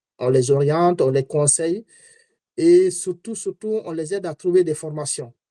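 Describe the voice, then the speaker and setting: Here a man speaks fairly slowly at a fairly high pitch in a dark, mellow tone. The sound is dry and close with no echo, and his pitch varies in an ordinary way. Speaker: entrepreneur and community activist. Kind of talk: webinar talk. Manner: halting.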